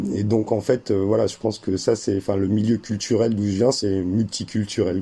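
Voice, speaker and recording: At a moderate pace and with hardly any pauses, a man talks in a monotone, flat intonation at a fairly low pitch. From France, German mother and Algerian father. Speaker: 3D artist and documentary maker. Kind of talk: interview. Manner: halting, many repetitions.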